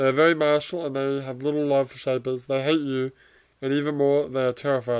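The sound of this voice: The speaker reads. It is an unforced reading voice.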